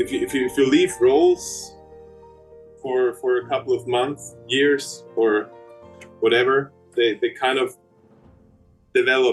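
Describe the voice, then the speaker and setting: A man speaks at a fairly slow pace, with long, frequent pauses. Music plays in the background. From Austria. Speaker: opera singer. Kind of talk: interview answer. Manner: hesitant, repetitive.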